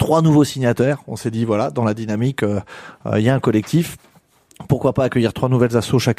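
This man has a medium pitch and a dark, mellow tone, speaking at a fairly quick pace with ordinary pitch variation. His speech has long, frequent pauses, and the sound is dry and close with no echo. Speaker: community association representative. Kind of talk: live radio discussion.

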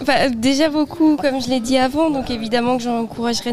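A woman at a high pitch, against noticeable background noise. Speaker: civic service volunteer. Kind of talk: radio interview.

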